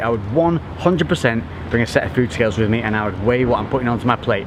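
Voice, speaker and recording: Noticeable background noise sits behind a man talking at a very fast pace. His pitch is medium, with ordinary variation. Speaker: fitness vlogger. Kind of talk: vlog narration. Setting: holiday resort abroad.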